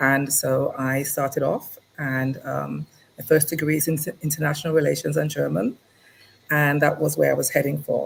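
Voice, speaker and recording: This woman speaks with an English accent. Her pace is moderate. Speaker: lawyer. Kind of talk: interview. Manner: hesitant, many fillers.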